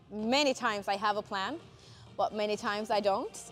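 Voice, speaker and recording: Fairly even intonation from a woman, with faint music in the background. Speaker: fitness content creator. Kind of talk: casual vlog chat. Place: gym.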